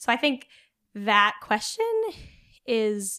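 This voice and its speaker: A woman with a fairly high pitch on a very clean recording with a silent background. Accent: West Coast US. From Oregon, US Pacific Northwest (rural, near Eugene). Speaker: nonprofit communications coordinator. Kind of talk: casual interview on faith.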